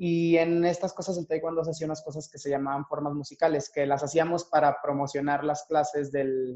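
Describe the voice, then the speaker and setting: The voice has a dark, mellow tone and fairly even intonation. It moves at a moderate pace. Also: man. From Mexico (Torreón, Coahuila). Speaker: dancer and dance teacher. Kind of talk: interview.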